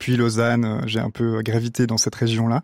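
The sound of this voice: Medium-pitched man's voice, slightly mellow, monotone and flat, at a moderate pace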